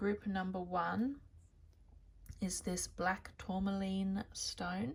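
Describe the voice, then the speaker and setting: Speaking very slowly in an Australian accent, a woman uses a somewhat breathy medium-pitched voice with ordinary pitch variation. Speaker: tarot reader. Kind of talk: tarot reading to camera.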